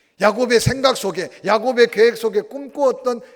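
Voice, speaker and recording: A man is speaking. His pace is moderate. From Gyeongsang, South Korea (Tongyeong, Ulsan). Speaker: pastor. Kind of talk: sermon.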